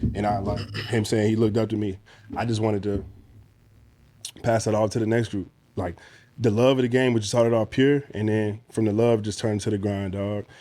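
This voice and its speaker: A man speaks at a fairly quick pace but leaves long, frequent pauses. His fairly low voice has a dark, mellow tone and a monotone, flat intonation. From Chesterfield, Virginia. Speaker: former college basketball player. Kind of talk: casual chat.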